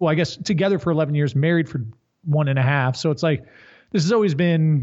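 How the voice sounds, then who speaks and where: Here a man talks at a very fast pace in a fairly high pitch. His voice is somewhat breathy, with ordinary pitch variation. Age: 30s. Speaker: strength coach and company executive. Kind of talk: casual chat.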